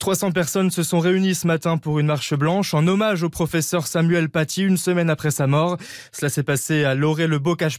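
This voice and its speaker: A man talks fairly quickly, his pitch varying in an ordinary way. The background is silent on this very clean recording. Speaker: news reader. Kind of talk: news reading. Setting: studio.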